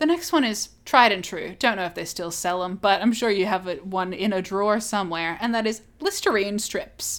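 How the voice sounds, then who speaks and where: A woman with an Australian accent, hardly any pauses, and ordinary pitch variation. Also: medium pitch for a woman, moderate pace. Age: 20s. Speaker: podcast co-host. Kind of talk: casual chat.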